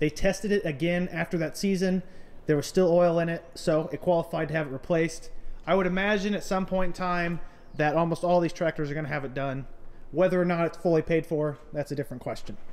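At a very fast pace, a man talks with a high pitch and fairly even intonation. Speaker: farmer vlogger. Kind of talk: casual vlog chat. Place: farm machine. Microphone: phone near.

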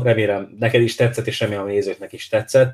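Somewhat breathy, a man talks fairly quickly with monotone, flat intonation. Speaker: podcast host; show host. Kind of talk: casual interview chat about football. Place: home room. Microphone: webcam.

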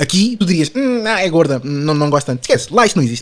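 The man talks at a very fast pace. His tone is animated. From Portugal. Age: 20s. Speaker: podcast guest. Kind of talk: casual chat.

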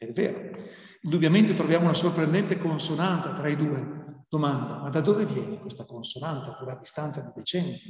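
A man speaks at a fairly quick pace in a fairly high pitch, with ordinary pitch variation and big swings in loudness. The background is quiet, with audible room echo. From Italy. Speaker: priest and theology lecturer; priest, theology lecturer. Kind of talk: prepared talk. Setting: video call. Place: classroom. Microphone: webcam.

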